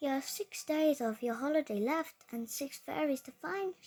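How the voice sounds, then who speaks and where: Using a put-on character voice, a woman speaks at a moderate pace and a high pitch. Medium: read story.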